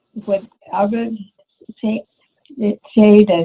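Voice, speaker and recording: The woman's voice sits in a middle pitch range. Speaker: stroke survivor and former professor. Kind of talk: presentation. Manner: halting, effortful speech; stuttering restarts.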